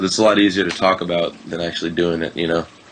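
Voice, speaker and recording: Noticeable background noise sits behind a man speaking with an American accent and fairly even intonation. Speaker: rapper and music producer. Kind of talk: casual interview. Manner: hesitant, many fillers.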